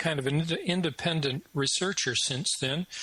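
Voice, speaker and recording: A man talks at a moderate pace with fairly even intonation. He has an ordinary speaking voice. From Canada. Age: 60s. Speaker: retired professor and independent researcher. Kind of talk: interview.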